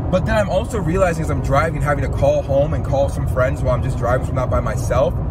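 A man speaks at a very fast pace. Loud background noise runs behind him. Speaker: vlogger. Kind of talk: casual vlog chat. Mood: reflective, slightly weary. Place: car. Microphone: phone near.

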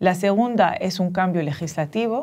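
A woman speaks in an unremarkable speaking voice at a moderate pace with ordinary pitch variation. The background is quiet. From Dominican Republic and Tunisia. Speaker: professor of social entrepreneurship; guest. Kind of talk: interview. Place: studio.

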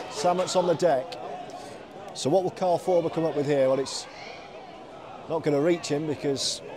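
A man's voice with ordinary pitch variation and noticeable background noise behind it. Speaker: rugby league commentator. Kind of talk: live sports commentary. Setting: stadium commentary.

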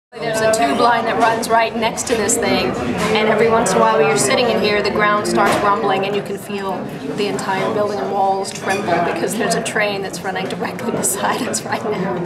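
Loud background noise surrounds a woman speaking at a fairly quick pace. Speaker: travel show host. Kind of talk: travel show commentary. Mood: warm, chatty, intimate. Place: bar. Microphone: phone near.

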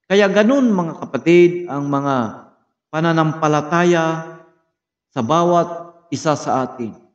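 Against a quiet background, a man speaks very slowly in a fairly high voice with ordinary pitch variation. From Philippines. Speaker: Bible study teacher. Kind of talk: sermon, Bible lesson review with prayer. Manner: formal, earnest, slow with frequent 'uh' fillers; preacherly, exhorting, direct address to 'friends and brothers'. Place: home room. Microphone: phone near.

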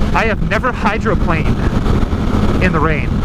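Loud background noise, a dry sound with no echo, and a moderate pace. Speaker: motorcycle rider vlogger. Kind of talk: casual vlog chat. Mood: relaxed, amused. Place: motorbike. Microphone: helmet.

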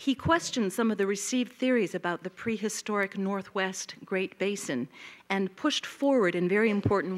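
A woman of medium pitch moves at a fairly quick pace with ordinary pitch variation. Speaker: humanities center director. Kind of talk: formal introduction. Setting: stage with audience. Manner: formal. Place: hall. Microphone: podium.

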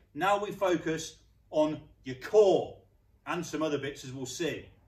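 The room echo is audible. A man talks fairly slowly within it. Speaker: fitness instructor. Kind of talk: workout tutorial. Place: gym.

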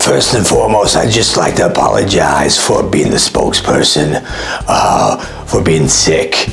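Over clear background music, a man does a put-on character voice, hoarse and very deep, at a moderate pace. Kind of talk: comic parody of press briefing. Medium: comedy sketch. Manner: rambling, repetitive, hesitant.

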